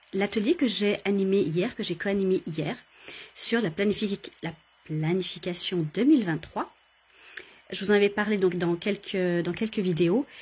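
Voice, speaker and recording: Pausing long and often, a woman talks at a fairly slow pace in a somewhat breathy, medium-pitched voice with ordinary pitch variation. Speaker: coach and workshop leader. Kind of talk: casual talk to camera, live video. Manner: hesitant, many fillers.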